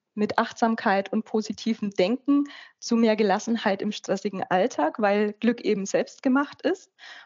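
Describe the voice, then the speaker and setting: Fairly high-pitched for a woman, her unremarkable speaking voice moves at a fairly slow pace with ordinary pitch variation. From Upper Franconia, northern Bavaria. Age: 40s. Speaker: life coach and author. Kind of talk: interview.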